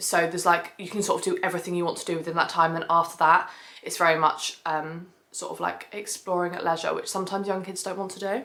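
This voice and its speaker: A put-on character voice, raspy and monotone, with flat intonation, big swings in loudness and a very fast pace. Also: woman, medium pitch for a woman. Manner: fast, rushed speech.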